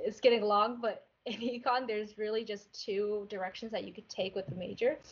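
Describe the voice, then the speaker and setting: A plain, everyday voice speaks in an American accent at a moderate pace. The intonation is fairly even, but there are big swings in loudness. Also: woman, fairly high pitch for a woman. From Maryland, US. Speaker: military cadet. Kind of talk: panel discussion.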